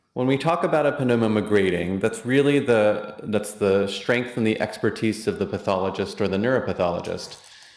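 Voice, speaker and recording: A man with a fairly low voice talks at a fairly quick pace with hardly any pauses. His pitch varies in an ordinary way and his loudness stays very even. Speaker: physician and immunotherapy program director. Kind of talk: lecture. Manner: fast.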